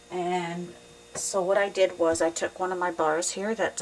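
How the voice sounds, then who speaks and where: There is noticeable background noise. A woman speaks at a moderate pace with fairly even intonation. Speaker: soap-making hobbyist. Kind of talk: tutorial. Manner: casual, hesitant with fillers.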